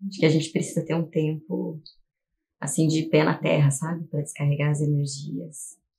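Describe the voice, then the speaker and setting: A woman speaks in a very deep, low voice, somewhat breathy, with fairly even intonation. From Curitiba, southern Brazil. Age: 40s. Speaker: teacher and artist. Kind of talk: documentary interview.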